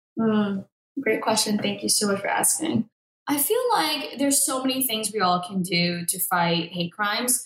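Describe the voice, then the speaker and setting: A woman with an American accent has an unremarkable speaking voice and a fairly high pitch. Her intonation is lively and her pace moderate. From Boston, Massachusetts. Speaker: coffee company founder. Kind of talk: interview.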